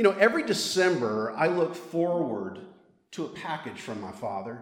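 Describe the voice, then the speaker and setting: A man with a Mississippi accent speaks at a moderate pace in a fairly high voice. His pitch swings very widely, and the room echo is audible. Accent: Southern US (Mississippi). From Mississippi, US South. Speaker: priest, storyteller. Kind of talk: live storytelling.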